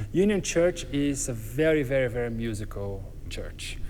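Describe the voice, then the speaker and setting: A man speaks with a Brazilian accent. Room echo is audible. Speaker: church music director and university music professor. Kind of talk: interview.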